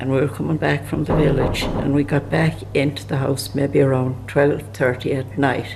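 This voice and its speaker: A man talks at a medium pitch with ordinary pitch variation and a moderate pace. He hardly pauses, and background noise is noticeable. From rural Ireland. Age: 80s+. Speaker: elderly emigrant recalling history. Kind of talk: oral history storytelling. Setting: pub. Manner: halting, with false starts.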